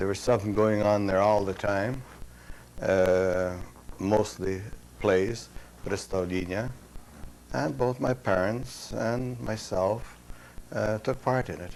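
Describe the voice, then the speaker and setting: Speaking in a Ukrainian accent, a man goes at a very slow pace with a fairly low pitch and long, frequent pauses. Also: ordinary pitch variation. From Canada, central Saskatchewan, Ukrainian-Canadian farm community. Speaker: war veteran. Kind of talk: oral history interview. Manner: halting.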